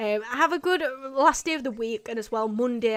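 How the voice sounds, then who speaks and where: With a British accent, a woman talks in a high voice whose intonation rises and falls in a lively way. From UK. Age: 20s. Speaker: urban exploration youtuber. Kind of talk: livestream chat. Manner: casual, rambling sign-off.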